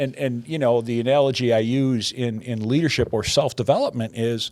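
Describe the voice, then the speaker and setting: On a very clean recording with a silent background, a man with a normal speaking voice talks at a fairly quick pace in a medium pitch. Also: fairly even intonation. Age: 60s. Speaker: podcast host, business consultant. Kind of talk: casual interview chat.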